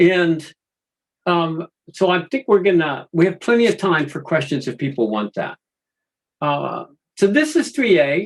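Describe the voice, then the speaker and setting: A man with a high-pitched voice that swings very widely up and down. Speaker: project management consultant. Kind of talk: webinar presentation.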